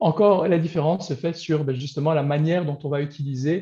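Fairly even intonation, a moderate pace and a dark, mellow tone over a quiet background. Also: man. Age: 40s. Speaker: business coach. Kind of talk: interview. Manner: halting.

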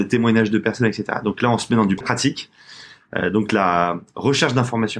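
A man with a fairly low pitch and fairly even intonation, on a very clean recording with a silent background. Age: 30s. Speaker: fashion brand co-founder. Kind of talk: casual interview. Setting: studio, in person with masks. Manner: halting, many repetitions.

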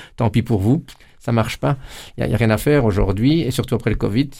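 A man talks very fast at a medium pitch with ordinary pitch variation. His dark, mellow voice carries vocal fry. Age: 50s. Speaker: politician. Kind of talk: interview. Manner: halting, many repetitions.

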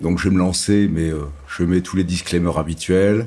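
A man's very deep, low voice at a moderate pace, with fairly even intonation. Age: 50s. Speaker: real estate company executive. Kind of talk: interview.

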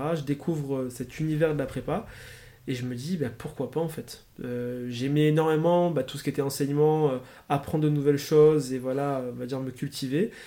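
In a very clean recording with a silent background, a man with a fairly high pitch speaks at a moderate pace, his tone dark and mellow and his intonation fairly even. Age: 20s. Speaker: student entrepreneur. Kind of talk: interview. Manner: hesitant, many fillers.

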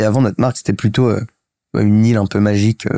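A man talks at a very fast pace in a medium pitch with fairly even intonation. His tone is dark and mellow, and the sound is dry and close with no echo. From Paris, France. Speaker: startup co-founder. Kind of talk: casual interview. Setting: host's home, filmed.

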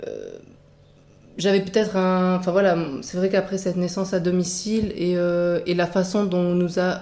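A woman with a medium-pitched voice talks at a moderate pace in a monotone, flat delivery, with audible room echo. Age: 30s. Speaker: midwifery student. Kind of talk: interview testimony.

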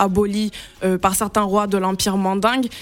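Amid noticeable background noise, a woman speaks fairly quickly at a medium pitch with monotone, flat intonation. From Senegal. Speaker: children's book author. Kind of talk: radio interview.

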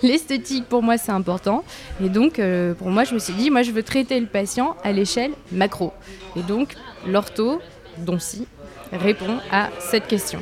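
With music in the background, a woman of medium pitch speaks with lively intonation and long, frequent pauses. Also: fairly slow pace. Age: 30s. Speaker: orthodontist. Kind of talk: interview. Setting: Parisian café.

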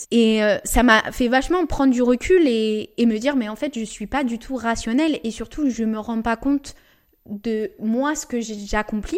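A woman's fairly high voice shows ordinary pitch variation as she talks at a moderate pace. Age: 20s. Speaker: podcast host and entrepreneur. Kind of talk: casual monologue. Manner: chatty.

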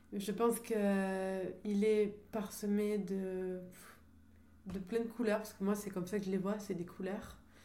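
The speech comes at a very slow pace with monotone, flat intonation, amid audible room echo and noticeable background noise. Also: woman, medium pitch for a woman. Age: 30s. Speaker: artist and singer. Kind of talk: radio interview.

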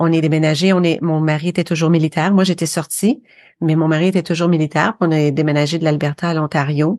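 Talking very fast with a slight Quebec accent, a woman has a very deep, low pitch and fairly even intonation, recorded dry and close with no echo against a quiet background. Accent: slight North American (Québécois) French. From Quebec, Eastern Townships (Windsor, Sherbrooke). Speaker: podcaster. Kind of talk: interview.

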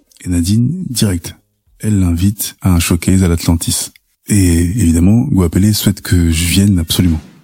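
A man speaks at a moderate pace in a very deep, low voice that is somewhat breathy, dark and mellow in tone, with very even loudness. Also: ordinary pitch variation. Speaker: podcast narrator. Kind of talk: personal storytelling.

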